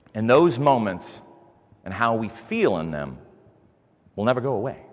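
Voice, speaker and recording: A man speaks in an animated tone. There is audible echo from the room. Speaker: conference speaker. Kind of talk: conference talk. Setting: stage with audience. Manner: loud.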